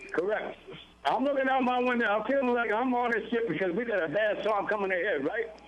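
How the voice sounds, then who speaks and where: Over noticeable background noise and audible room echo, a man talks at a very fast pace in a high pitch, with very even loudness and ordinary pitch variation. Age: 70s. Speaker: caller. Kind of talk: phone-in chat. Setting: phone call. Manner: halting.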